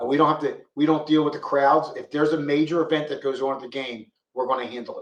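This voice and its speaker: This man speaks very fast in a monotone, flat way, his fairly high voice carrying a Philadelphia accent. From Philadelphia, North Philly. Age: 60s. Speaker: police officer. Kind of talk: interview.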